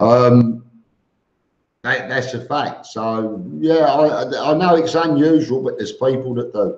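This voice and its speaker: A man's medium-pitched voice with a Cockney accent, very slow in pace, with ordinary pitch variation. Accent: Cockney London English. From East London, England. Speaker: expat vlogger, live stream host. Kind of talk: live stream chat reading viewer comments. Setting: live stream. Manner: halting with frequent repetitions.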